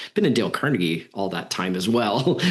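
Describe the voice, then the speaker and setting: With a plain, everyday voice, a man talks at a fairly quick pace and a fairly low pitch. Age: 50s. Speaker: podcast host, business trainer. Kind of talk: podcast interview.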